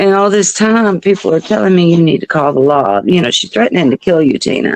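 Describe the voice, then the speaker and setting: Lively intonation in an Arkansas accent, dry and close with no echo. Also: woman. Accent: Southern US (Arkansas). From US South. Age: 60s. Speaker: mother of a person with addiction. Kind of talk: interview testimony.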